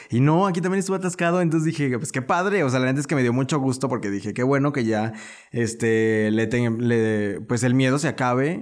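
Here is a man with a plain, everyday voice at a medium pitch. He talks at a fairly quick pace with lively intonation. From León, Guanajuato, Mexico. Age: 20s. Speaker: social media influencer. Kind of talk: casual interview.

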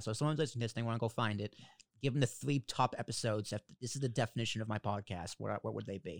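A man's medium-pitched voice in an American accent, very fast, with ordinary pitch variation, on a very clean, dry and close recording with no echo and a silent background. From Boston. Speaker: podcast host. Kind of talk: casual interview chat.

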